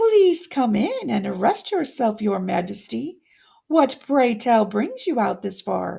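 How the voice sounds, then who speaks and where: A woman puts on a character voice, pitched fairly high. She delivers it at a fairly slow pace. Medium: read story. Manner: purring, ingratiating.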